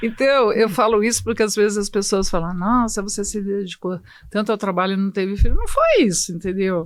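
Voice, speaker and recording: Her intonation fairly even, a woman with a medium pitch talks at a fairly quick pace. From Brazil, São Paulo. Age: 60s. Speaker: hematologist. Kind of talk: podcast interview. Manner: halting.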